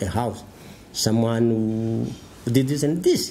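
Over light background noise, a man with a Rwandan accent speaks at a very slow pace. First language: Kinyarwanda. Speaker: tribunal prosecution counsel; former tribunal lawyer. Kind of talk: interview; interview answer. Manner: halting. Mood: reflective, solemn. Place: office.

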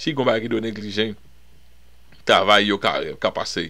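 Here is a man with a Haitian accent. His voice is fairly low, with a bright, sharp tone. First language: Haitian Creole (speaking French). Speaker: pastor. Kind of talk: bible study teaching. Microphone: webcam.

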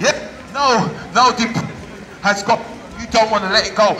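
A man talks in a raised, projected voice at a moderate pace. Light background noise sits behind him. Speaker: street preacher. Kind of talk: street sermon. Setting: outdoors. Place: street. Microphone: camera far.

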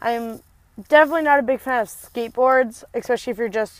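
Recorded with a dry sound and no echo, a woman speaks at a fairly quick pace with ordinary pitch variation. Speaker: vlogger. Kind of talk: casual vlog chat. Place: car. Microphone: earbuds.

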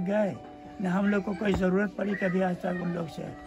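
A man with a high pitch speaks at a moderate pace in a monotone, flat intonation. Clear music plays in the background. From Bihar, India. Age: 80s+. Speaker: villager recalling 1946 riots. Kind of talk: interview answer. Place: home room. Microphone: phone near.

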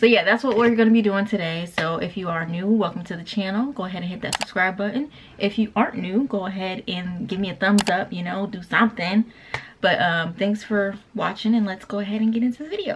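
A fairly quick woman's voice with ordinary pitch variation and noticeable background noise. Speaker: small business owner vlogger. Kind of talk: casual vlog chat. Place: home room. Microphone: camera far.

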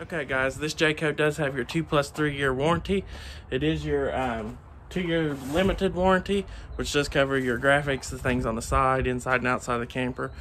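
With light background noise, a man talks at a moderate pace with ordinary pitch variation. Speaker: RV salesperson. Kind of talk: sales walkthrough tutorial. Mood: friendly, upbeat. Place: street. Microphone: phone near.

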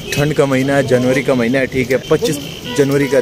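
A man is heard on a dry recording with no echo. Noticeable background noise sits behind him. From Pakistan. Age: 20s. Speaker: vlogger. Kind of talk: travel vlog. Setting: outdoors. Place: street. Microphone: phone near.

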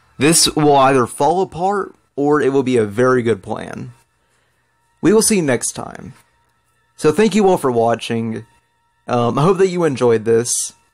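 With music in the background, a man speaks at a fairly high pitch and a fairly slow pace, his intonation lively and his pauses long and frequent. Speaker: gaming video creator. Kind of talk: let's play commentary. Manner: stuttering.

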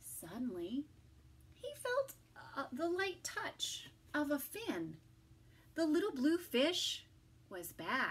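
A woman speaks high with very wide pitch swings. Her pace is slow, with long, frequent pauses.

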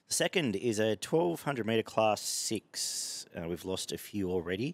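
The sound is dry with no echo. A man speaks at a fairly low pitch. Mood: relaxed, casual. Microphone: headset.

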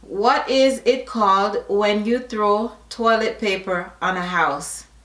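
In a Jamaican accent, a woman speaks with ordinary pitch variation. The room echo is audible. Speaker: YouTuber doing an accent tag video. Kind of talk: casual, slips into Jamaican Patois. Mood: playful, upbeat.

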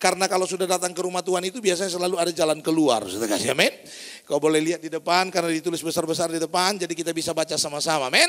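With an animated tone and ordinary pitch variation, a high-pitched man races along at a very fast pace over a quiet background. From North Sumatra, Indonesia (Batak). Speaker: pastor. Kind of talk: sermon. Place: church.

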